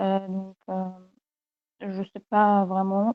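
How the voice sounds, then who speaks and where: A woman's medium-pitched voice, dark and mellow in tone, at a very slow pace. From Egypt. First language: Egyptian Arabic (speaking French). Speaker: university student, language learner. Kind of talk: interview. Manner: halting, many hesitations and repetitions; switches between French and English.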